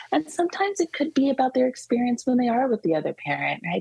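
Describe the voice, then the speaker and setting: Somewhat breathy, a woman with an American accent speaks with a dark, mellow tone and lively intonation. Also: dry, close sound with no echo. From California. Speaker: social worker and play therapist. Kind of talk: interview.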